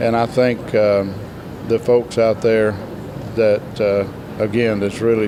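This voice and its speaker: A man with a medium pitch and fairly even intonation talks through noticeable background noise. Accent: Southern US. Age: 60s. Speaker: gospel quartet singer. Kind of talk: interview.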